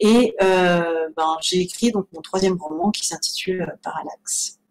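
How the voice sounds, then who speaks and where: This woman talks fairly slowly. Her pitch variation is ordinary. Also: medium pitch for a woman, big swings in loudness. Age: 30s. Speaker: novelist. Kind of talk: interview. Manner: hesitant, many fillers.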